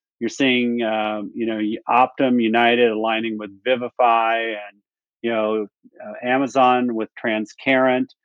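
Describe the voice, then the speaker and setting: A man speaks fairly slowly at a medium pitch in a monotone, flat way. His loudness swings a lot. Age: 60s. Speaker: health technology company executive. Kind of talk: interview.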